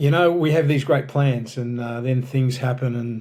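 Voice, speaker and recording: With an Australian accent, a man speaks at a moderate pace and medium pitch. His tone is dark and mellow, with fairly even intonation. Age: 60s. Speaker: pastor and author. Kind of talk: podcast interview. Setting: podcast recording.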